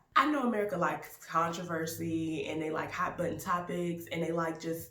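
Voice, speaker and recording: A woman with a fairly low pitch speaks in an animated tone, with audible room echo and noticeable background noise. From US South, Baton Rouge, Louisiana. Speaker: YouTube actor and film reviewer. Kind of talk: casual film review vlog.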